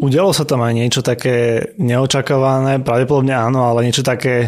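A man with a plain, everyday voice talks at a medium pitch and a moderate pace. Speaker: podcast co-host. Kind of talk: casual interview; scripted outro.

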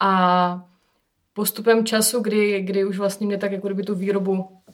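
A woman's mid-range voice stays flat and monotone throughout. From South Moravia, Czech Republic (Hustopeče). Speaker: winemaker. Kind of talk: casual chat interview. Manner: hesitant with filler sounds.

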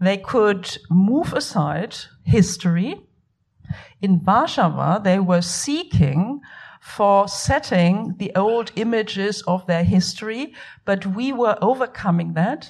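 A woman's somewhat breathy, medium-pitched voice with lively intonation, at a very slow pace. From Germany. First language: German. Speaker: art historian. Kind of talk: panel discussion. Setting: cinema hall event with audience.

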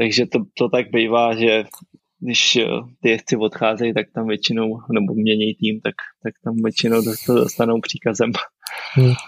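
A man's medium-pitched, flat monotone with long, frequent pauses, in a dry, close sound with no echo. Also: moderate pace. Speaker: pro cyclist, podcast host. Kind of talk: interview.

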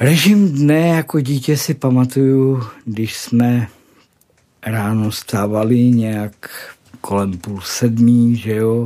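A man's dark, mellow voice at a medium pitch, with ordinary pitch variation and a very slow pace. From South Moravia, Czechia. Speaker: formerly homeless man. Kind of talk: testimony. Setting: studio.

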